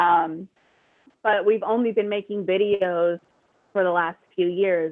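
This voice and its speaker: Her intonation fairly even, a woman speaks at a medium pitch with an American accent. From New York. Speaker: music supervisor. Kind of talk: interview on a live audio chat. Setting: live audio chat room. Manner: hesitant fillers.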